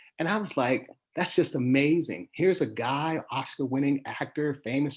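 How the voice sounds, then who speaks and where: With an American accent, the speaker uses an ordinary speaking voice at a moderate pace with ordinary pitch variation against a quiet background. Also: man. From Pittsburgh, Pennsylvania, US. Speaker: sports columnist. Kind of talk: interview. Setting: live stream.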